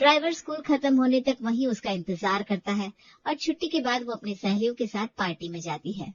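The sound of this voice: At a fairly quick pace, a woman talks with a fairly high pitch and lively intonation. The sound is dry and close with no echo.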